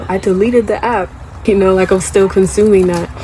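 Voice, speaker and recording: The voice is monotone with flat intonation, heard with audible room echo and noticeable background noise. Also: woman. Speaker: YouTuber. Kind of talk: casual vlog monologue. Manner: casual, conversational.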